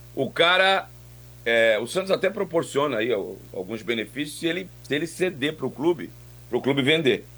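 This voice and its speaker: A man talks fairly quickly at a fairly high pitch, with vocal fry and lively intonation. Long, frequent pauses break up his speech. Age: 50s. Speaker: sports radio commentator. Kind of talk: sports talk radio.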